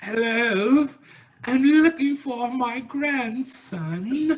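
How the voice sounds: A female-sounding voice, pitched high and delivered in a put-on character style, moves along at a very slow pace.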